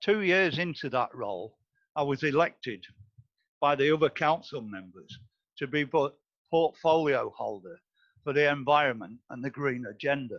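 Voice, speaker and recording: A man with a Lincolnshire accent talks at a moderate pace, his pitch fairly high and his intonation lively. He leaves long, frequent pauses. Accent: English, northern Lincolnshire. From northern Lincolnshire, England. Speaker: board candidate, retired osteopath. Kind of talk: interview. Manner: formal.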